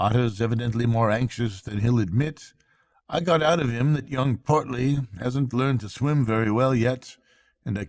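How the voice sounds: Over a quiet background, the speaker reads in a natural voice.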